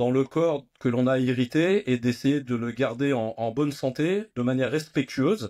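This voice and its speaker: A man's voice of medium pitch with a dark, mellow tone. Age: 60s. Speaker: nutrition and fitness entrepreneur. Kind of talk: interview conversation. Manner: hesitant with many fillers and repetitions.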